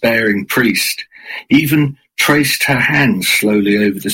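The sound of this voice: An unforced reading voice comes through with a quiet background.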